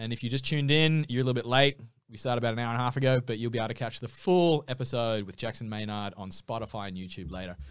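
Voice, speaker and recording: On a very clean recording with a silent background, a man with an Australian accent speaks at a very fast pace and medium pitch with hardly any pauses, big swings in loudness and ordinary pitch variation. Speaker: podcast host. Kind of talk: casual interview. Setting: studio.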